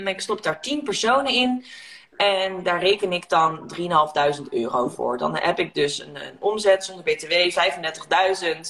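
A woman with a fairly low pitch speaks at a very slow pace, with lively intonation and big swings in loudness. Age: 30s. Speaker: negotiation coach and entrepreneur. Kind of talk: casual chat. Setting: Instagram live video.

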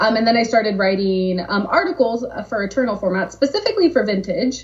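Over noticeable background noise, a woman with a Californian accent talks very fast in a fairly high voice. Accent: General American (Californian). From Southern California. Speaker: game brand marketer. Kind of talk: casual interview.

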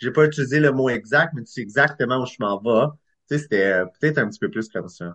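A man talks fairly quickly at medium pitch. His is an unremarkable speaking voice. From Eastern Ontario, Clarence Creek. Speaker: screenwriter and director. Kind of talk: casual interview.

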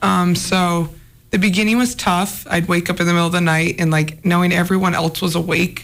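A woman with an American accent speaks fairly quickly at a fairly low pitch. Her intonation is monotone and flat, and her loudness very even. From Anaconda, Montana. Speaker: former college basketball player, pro overseas. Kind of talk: casual interview.

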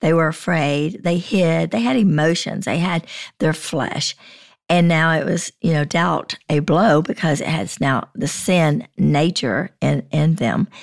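Recorded very cleanly against a silent background, a woman speaks at a fairly slow pace with a fairly low pitch, ordinary pitch variation and vocal fry. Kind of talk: casual Bible discussion.

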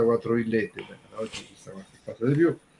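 A man talks at a very fast pace and medium pitch. Noticeable background noise sits behind him. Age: 60s. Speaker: music commentator. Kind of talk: casual chat.

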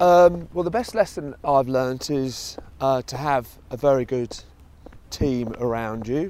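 This man has a southeast English accent and a medium pitch. His pace is fairly slow. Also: ordinary pitch variation. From Kent, southeast England. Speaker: fund research head and podcast host. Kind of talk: casual interview on a walk. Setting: outdoors in a park. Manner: hesitant, many fillers.

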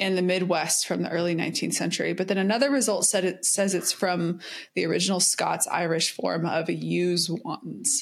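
With an American accent and some vocal fry, a woman speaks at a fairly low pitch and moderate pace, with ordinary pitch variation, hardly any pauses and very even loudness, in a very clean recording with a silent background. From US South. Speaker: podcast co-host. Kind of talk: casual chat.

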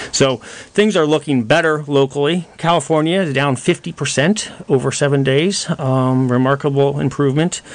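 A man's fairly high-pitched, a plain, everyday voice, at a moderate pace with fairly even intonation. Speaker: doctor guest on radio show. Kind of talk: live radio talk show answering callers. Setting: studio.

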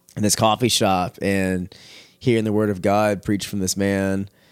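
In a very clean recording with a silent background, a man with an American accent and a fairly low pitch speaks at a fairly slow pace in a monotone, flat intonation. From Texas, Houston area. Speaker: former youth pastor. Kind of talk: testimony. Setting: at home, dog in background.

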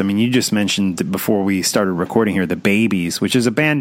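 An ordinary speaking voice from a man, fairly low in pitch, with ordinary pitch variation. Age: 40s. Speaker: podcast host. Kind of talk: casual interview.

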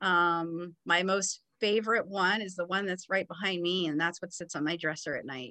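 A woman speaks in a Californian accent with a bright, sharp tone and ordinary pitch variation. The background is quiet. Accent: Californian American. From Los Angeles. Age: 40s. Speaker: TV news producer. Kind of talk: interview.

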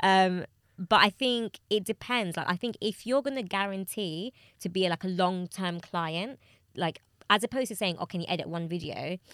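In a very clean recording with a silent background and a dry, close sound with no echo, a woman with an unremarkable speaking voice talks at a moderate pace at medium pitch with ordinary pitch variation. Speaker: podcast co-host. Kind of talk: casual chat.

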